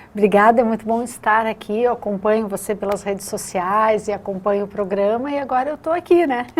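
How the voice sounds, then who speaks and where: Speaking with a Curitiba accent, a woman talks fairly quickly with hardly any pauses, at a fairly high pitch and with ordinary pitch variation. Noticeable background noise sits behind her. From southern Brazil, Curitiba. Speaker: lawyer and teacher. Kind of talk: interview.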